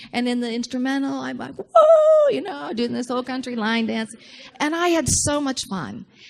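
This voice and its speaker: Speaking at a middling speed, a woman is heard over clearly audible background noise. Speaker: minister. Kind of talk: sermon.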